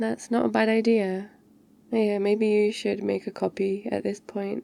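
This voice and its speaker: This woman speaks at a fairly slow pace, her medium-pitched voice carrying a dark, mellow tone. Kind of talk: ASMR girlfriend roleplay. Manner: soft-spoken, caring.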